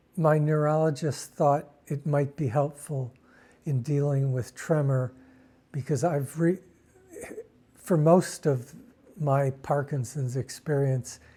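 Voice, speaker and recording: A man's somewhat breathy voice, dark and mellow in tone and fairly high-pitched, with fairly even intonation, a very slow pace and long, frequent pauses. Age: 60s. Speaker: Parkinson's patient. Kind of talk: interview.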